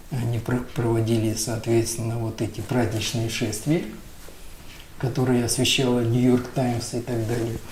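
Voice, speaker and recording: Amid noticeable background noise and audible room echo, a man talks at a fairly slow pace and medium pitch with monotone, flat intonation. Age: 60s. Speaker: businessman, telecom company head. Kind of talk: conversational interview.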